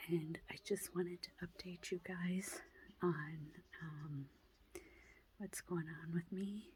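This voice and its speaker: Quiet and somewhat breathy, a woman speaks at a very slow pace with long, frequent pauses, a fairly low pitch, and fairly even intonation. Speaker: vlogger sharing health update. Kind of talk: personal vlog update. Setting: at home. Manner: quiet, hushed; halting, many fillers.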